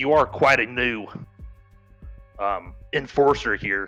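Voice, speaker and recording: A man's put-on character voice, raspy and at medium pitch, delivered at a fairly slow pace over faint music in the background. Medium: actual play.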